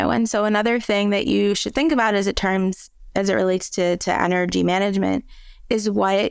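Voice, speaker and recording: A woman's medium-pitched, normal speaking voice at a moderate pace with ordinary pitch variation. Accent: American. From US Midwest (Michigan). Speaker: remote work expert, author. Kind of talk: podcast interview.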